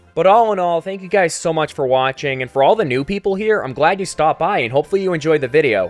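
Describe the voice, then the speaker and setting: A man talks at a very fast pace. Noticeable background noise sits under his voice. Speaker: gaming youtuber. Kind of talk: scripted narration. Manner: quieter than usual.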